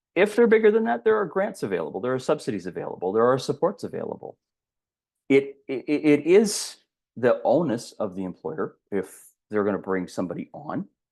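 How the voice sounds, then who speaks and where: Against a quiet background, a man with vocal fry and a fairly high pitch talks at a fairly quick pace, his pitch swinging very widely. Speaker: diversity and inclusion expert. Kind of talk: webinar presentation. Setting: online webinar. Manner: fast; repetitions and false starts.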